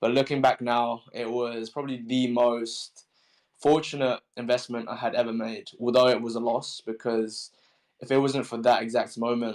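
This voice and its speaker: At a moderate pace, a man with a strong British accent speaks at medium pitch with monotone, flat intonation. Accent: thick British. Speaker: crypto project founder. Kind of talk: AMA panel chat. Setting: Twitter Spaces audio room.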